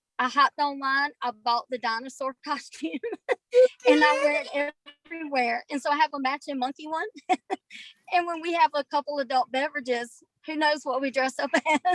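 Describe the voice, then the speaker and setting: A woman with a Southern US accent talks at a fairly quick pace and a high pitch, with fairly even intonation. Long, frequent pauses break her speech, and the sound is dry and close with no echo. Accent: Southern American. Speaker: scleroderma patient. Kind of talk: casual chat.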